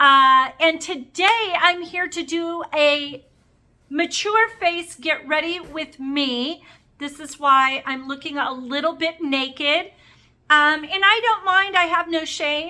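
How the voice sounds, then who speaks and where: A woman speaks very slowly in a raised, projected voice at an extremely high pitch. Her tone is bright and sharp, with ordinary pitch variation. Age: 50s. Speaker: beauty vlogger. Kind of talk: makeup tutorial vlog. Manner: casual, chatty.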